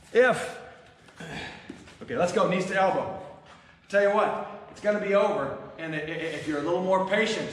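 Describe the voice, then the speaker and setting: A man talks at a moderate pace in a high pitch, with ordinary pitch variation, big swings in loudness and long, frequent pauses. Noticeable background noise and audible room echo fill the recording. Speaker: fitness instructor. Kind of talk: workout class instruction. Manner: loud, yelling; energetic.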